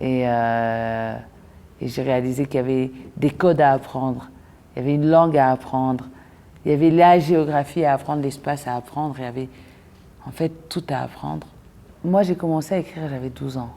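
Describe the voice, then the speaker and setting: A woman's very deep, low-pitched voice at a moderate pace, with long, frequent pauses and ordinary pitch variation. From DR Congo, Lubumbashi. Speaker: poet and actress. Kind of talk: interview testimony. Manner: hesitant, many fillers.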